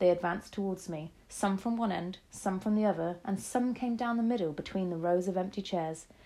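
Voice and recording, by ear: The voice reads aloud naturally. Its pitch moves in an ordinary way.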